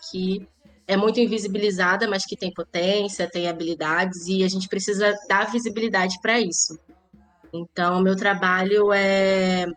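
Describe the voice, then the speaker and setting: A woman with a Rio de Janeiro accent at a moderate pace, with music in the background. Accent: carioca (Rio de Janeiro). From Rio de Janeiro, Zona Norte (Irajá). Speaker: lawyer and social manager. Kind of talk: interview.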